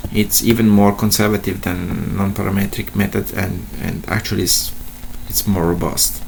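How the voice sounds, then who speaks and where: A man's fairly low voice at a fairly slow pace, with ordinary pitch variation and noticeable background noise. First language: not English. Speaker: statistician / tutorial presenter. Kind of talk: tutorial. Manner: halting, many fillers and repetitions.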